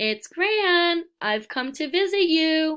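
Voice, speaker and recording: A woman does a put-on character voice that is squeaky, at an extremely high pitch, with a warm, gentle tone and lively intonation. She speaks at a very slow pace in a very clean recording with a silent background. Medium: read story. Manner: warm, gentle, patient.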